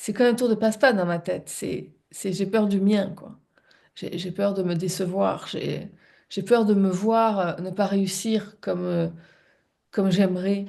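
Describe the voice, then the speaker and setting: Big swings in loudness mark this woman's speech. She goes at a fairly slow pace with fairly even intonation. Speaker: spiritual coach and live show co-host. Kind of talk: reflective live-stream talk. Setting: live stream. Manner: halting, many repetitions and hesitations.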